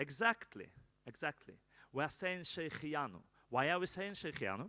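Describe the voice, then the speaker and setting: This man's bright, sharp voice sits fairly high for a man, swings very widely in pitch, carries vocal fry, and moves at a moderate pace. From Israel. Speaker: rabbi. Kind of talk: ceremony address to live audience. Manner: halting.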